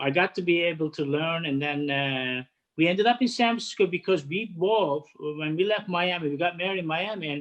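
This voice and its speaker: A man with a Turkish accent talks at a fairly quick pace and high pitch, using ordinary pitch variation. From Turkey, Istanbul. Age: 50s. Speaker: head of hospitality catering. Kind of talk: interview. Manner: halting.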